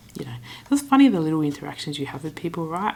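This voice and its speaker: In an Australian accent, the voice races along at a very fast pace with an animated tone. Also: woman. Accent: general Australian. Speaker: travel vlogger. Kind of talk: casual vlog storytelling. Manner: chatty, animated.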